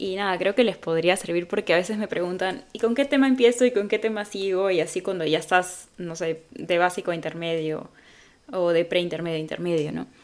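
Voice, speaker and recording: A woman speaks at a fairly quick pace in a normal speaking voice, her medium pitch moving with ordinary variation. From Peru. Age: 20s. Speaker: English teacher and language learner. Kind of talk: casual talk to camera. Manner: upbeat, friendly.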